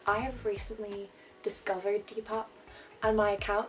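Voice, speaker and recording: A woman speaks at a moderate pace with an Irish accent and a medium pitch. Music plays in the background. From Ireland. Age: 20s. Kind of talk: casual talk to camera. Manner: chatty, rambling.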